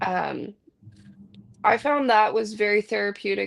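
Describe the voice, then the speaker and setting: A woman with a Canadian accent. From Vancouver, western Canada. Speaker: podcast host. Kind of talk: casual chat. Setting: live stream.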